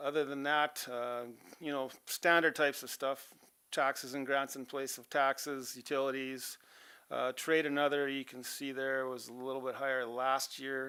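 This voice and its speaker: A mumbling man with an Albertan accent, medium pitch, flat monotone intonation and a bright, sharp tone, in a very clean recording with a silent background. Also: moderate pace. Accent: Canadian English, Alberta. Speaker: auditor presenting financial statements to council. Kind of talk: financial report presentation at council meeting. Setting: council chamber meeting. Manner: casual, many fillers.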